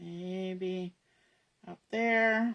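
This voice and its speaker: A woman's mumbling at a medium pitch. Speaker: crafter demonstrating scrapbooking. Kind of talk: live crafting tutorial. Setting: online livestream. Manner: casual, thinking aloud.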